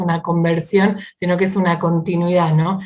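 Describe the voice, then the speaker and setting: At a moderate pace, a woman of medium pitch speaks in a monotone, flat intonation. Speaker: Bible teacher and speaker. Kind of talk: online talk. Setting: video call.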